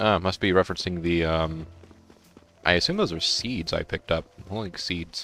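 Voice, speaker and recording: The man's pitch is very deep and low, yet his tone is bright and sharp. He keeps a moderate pace and fairly even intonation, with long, frequent pauses. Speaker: gaming YouTuber. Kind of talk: let's play commentary. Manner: halting, many fillers.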